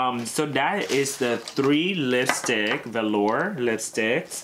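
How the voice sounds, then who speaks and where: Through noticeable background noise, a man speaks at a very slow pace with a medium pitch and ordinary pitch variation. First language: not English. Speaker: beauty YouTuber. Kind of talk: unboxing product review. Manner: casual, filler-heavy.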